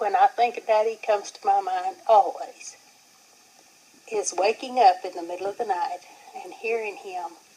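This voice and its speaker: At a moderate pace, a woman with a fairly high voice speaks with lively intonation and big swings in loudness, pausing long and often over noticeable background noise. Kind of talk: interview answer, family reminiscence.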